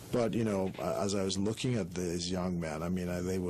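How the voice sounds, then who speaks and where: Audible room echo surrounds a man with a very deep, low voice. He talks at a fairly quick pace with fairly even intonation. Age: 60s. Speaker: politician. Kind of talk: radio interview.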